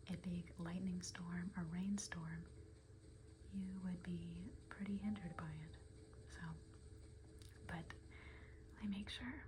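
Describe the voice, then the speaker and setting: Soft-spoken and very slow, the speaker leaves long, frequent pauses over noticeable background noise. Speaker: ASMR gaming creator. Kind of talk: soft-spoken ASMR gameplay rambling.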